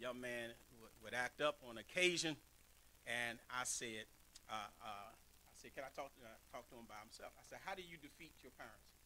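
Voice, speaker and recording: A man speaks at a moderate pace and medium pitch, with a bright, sharp tone and ordinary pitch variation. His loudness swings widely over light background noise. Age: 50s. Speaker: pastor. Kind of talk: sermon. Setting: church. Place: church. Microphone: podium.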